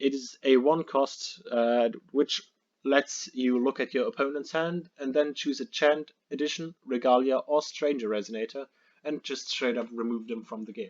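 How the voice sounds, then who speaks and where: The sound is dry and close with no echo. A man with a non-native accent talks at a moderate pace in a fairly high voice. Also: ordinary pitch variation. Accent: noticeable non-native. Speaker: card game player. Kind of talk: casual card game deck profile talk.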